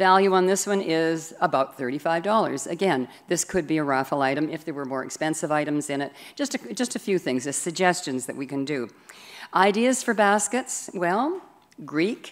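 Delivered at a moderate pace, the speech shows very wide pitch swings. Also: woman, fairly low pitch for a woman. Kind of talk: church announcement. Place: church. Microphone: podium.

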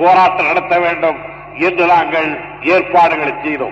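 A high-pitched man's flat monotone, with audible room echo and light background noise. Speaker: politician and orator. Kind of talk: political speech to students. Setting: old archival recording. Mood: rousing, persuasive oratory. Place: hall. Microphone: podium.

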